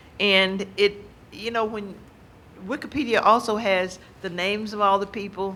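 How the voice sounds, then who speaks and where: With an American accent, a woman talks in fairly even intonation amid audible room echo. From US South. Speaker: university administrator and speaker. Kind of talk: lecture. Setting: stage with audience. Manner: fast.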